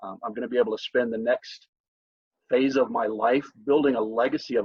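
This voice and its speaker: He has an unremarkable speaking voice, pitched in the medium range. His pace is moderate and his pitch variation ordinary. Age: 60s. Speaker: network marketer. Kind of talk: testimony. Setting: video call.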